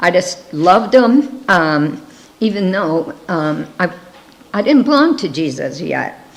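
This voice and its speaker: A woman speaks. Her pitch sits in the middle range. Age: 70s. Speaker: missionary. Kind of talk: missionary presentation.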